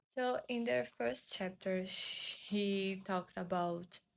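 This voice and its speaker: A woman talks at a very slow pace with a Portuguese accent. Her pitch sits in the middle range. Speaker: booktuber. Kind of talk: book review vlog. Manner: halting, searching for English words.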